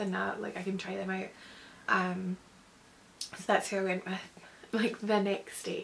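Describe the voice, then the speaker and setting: With a Scottish accent, a woman talks at a moderate pace. Light background noise can be heard. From Scotland. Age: 20s. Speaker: vlogger. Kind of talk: casual talk to camera. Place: home room. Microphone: phone near.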